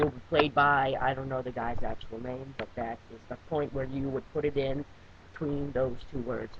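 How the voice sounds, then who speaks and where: Over noticeable background noise, a man talks at a moderate pace with fairly high pitch. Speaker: webcam wrestling reviewer. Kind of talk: casual video review monologue. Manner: halting, many fillers and restarts.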